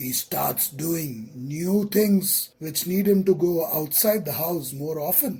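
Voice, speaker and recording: Speech comes at a very slow pace with hardly any pauses. The accent is Indian. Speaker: relationship counselor. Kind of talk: list narration.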